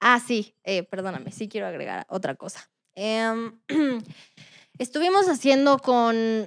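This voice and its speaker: A woman speaks at a fairly slow pace and a fairly high pitch, with a slight Puebla accent. The sound is dry and close with no echo, in a very clean recording against a silent background. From Mexico, Puebla. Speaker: rapper and singer. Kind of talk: interview.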